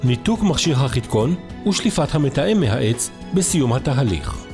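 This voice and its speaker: Very slow speech from a man with very wide pitch swings, music in the background. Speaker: voice-over narrator. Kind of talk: instructional product video narration.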